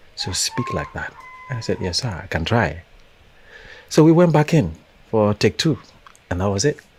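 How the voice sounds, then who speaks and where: With music in the background, a man at a medium pitch talks at a moderate pace with very wide pitch swings and long, frequent pauses. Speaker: actor. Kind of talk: interview.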